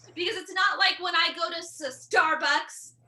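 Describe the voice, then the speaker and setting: Raised, projected woman's voice with an American accent, bright and sharp in tone, with fairly even intonation. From California (Bakersfield). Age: 40s. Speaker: stand-up comedian. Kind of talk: stand-up.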